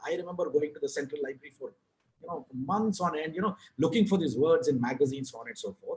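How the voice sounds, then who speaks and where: Speaking at a very fast pace, a man with a Kannada accent and a fairly high pitch swings very widely in pitch. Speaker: author and advertising writer. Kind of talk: podcast interview.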